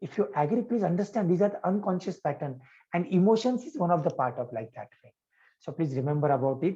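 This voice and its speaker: A dark, mellow tone at a fairly quick pace, with lively intonation. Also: man. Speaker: yoga and life coach. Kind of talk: live coaching session. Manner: loud, energetic.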